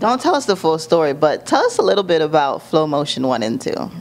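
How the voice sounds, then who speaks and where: A woman with an American accent speaks at a fairly quick pace, her fairly low pitch swinging very widely, with noticeable background noise behind her. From South Florida. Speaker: talk show host. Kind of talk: interview.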